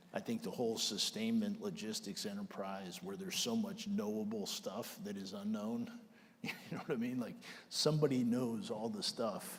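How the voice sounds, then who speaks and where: With an American accent, the speaker moves at a moderate pace through very wide pitch swings, and room echo is audible. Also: man. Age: 60s. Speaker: army general. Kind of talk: onstage interview.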